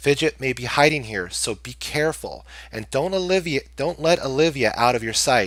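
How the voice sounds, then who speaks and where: A man's put-on character voice, fairly high in pitch, at a moderate pace, on a very clean recording with a silent background. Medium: read story.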